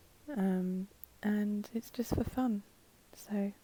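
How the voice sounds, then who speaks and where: A soft-spoken woman with a calm, somewhat breathy, dark and mellow tone at medium pitch, in a dry, close sound with no echo. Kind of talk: casual talk to camera. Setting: voiceover recorded separately from the video. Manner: soft-spoken, calm.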